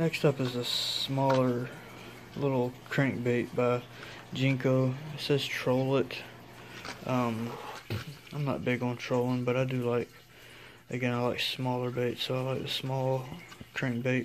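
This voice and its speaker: Against noticeable background noise, a man speaks at a fairly slow pace in a monotone, flat voice with long, frequent pauses. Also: medium pitch for a man. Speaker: fishing tackle reviewer. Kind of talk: product unboxing review. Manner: casual, with frequent hesitations.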